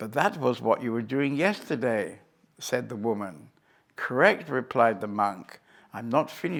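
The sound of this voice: Someone reads in an unforced voice. The pitch moves in an ordinary way.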